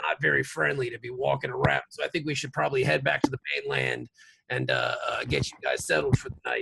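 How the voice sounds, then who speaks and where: A man does a raspy, put-on character voice at a fairly quick pace. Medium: actual play. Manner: gruff, bossy.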